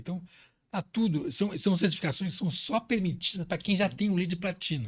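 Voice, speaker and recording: This man speaks at a fairly quick pace with a high pitch. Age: 60s. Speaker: business executive. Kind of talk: interview. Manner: halting.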